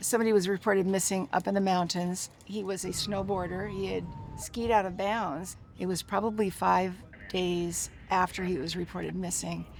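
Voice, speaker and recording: Her voice is a woman's, medium in pitch and monotone, with flat intonation. Noticeable background noise can be heard. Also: moderate pace. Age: 60s. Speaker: search and rescue volunteer. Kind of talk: documentary interview answer.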